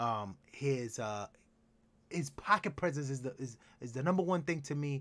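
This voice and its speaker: Speaking at a moderate pace with long, frequent pauses, a man with a fairly high voice sounds animated and uses lively intonation. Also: very clean recording, silent background. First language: Spanish. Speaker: sports podcast host. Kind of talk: casual sports talk chat.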